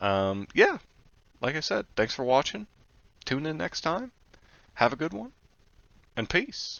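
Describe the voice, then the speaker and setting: The speech is fairly slow, with long, frequent pauses and vocal fry. The pitch swings very widely. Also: man, fairly high pitch for a man. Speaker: gaming YouTuber. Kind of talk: casual commentary. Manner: hesitant with fillers.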